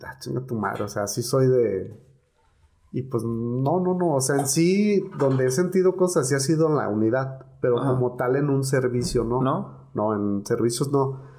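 Amid audible room echo, a man talks at a moderate pace with ordinary pitch variation. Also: medium pitch for a man. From Mexico, Guadalajara area (Tlaquepaque). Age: 40s. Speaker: paramedic. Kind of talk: casual chat.

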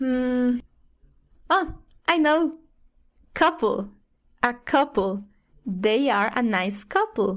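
Speaking at a very slow pace with long, frequent pauses, this voice has lively intonation and a Spanish accent over a quiet background. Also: woman, high pitch for a woman. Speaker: English learner. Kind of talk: language lesson role-play.

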